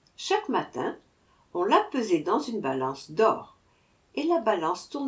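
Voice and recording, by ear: Text read aloud in a natural voice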